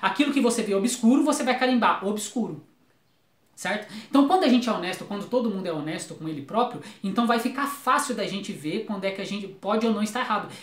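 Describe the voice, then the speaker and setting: A man's high-pitched voice, very fast and lively in intonation, with audible room echo. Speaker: YouTuber, philosophy commentator. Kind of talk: video commentary monologue. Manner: halting, with stammers and restarts.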